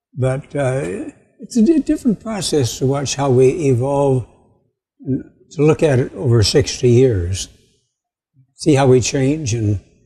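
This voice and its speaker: Against a quiet background, a man speaks at a fairly slow pace in a dark, mellow, somewhat breathy tone, with lively intonation and long, frequent pauses. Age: 80s. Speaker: retired educator and community foundation founder. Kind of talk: casual chat.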